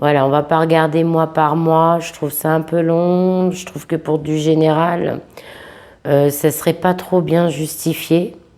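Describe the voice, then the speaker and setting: With a very deep, low pitch, a woman speaks very slowly in a monotone, flat intonation. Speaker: psychic tarot reader. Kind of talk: tarot reading monologue. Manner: hesitant, many fillers.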